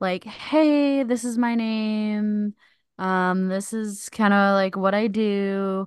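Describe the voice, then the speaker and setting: A woman speaks at a very slow pace in a medium pitch. Her intonation is fairly even. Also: quiet background. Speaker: podcast host. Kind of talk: casual comedic chat.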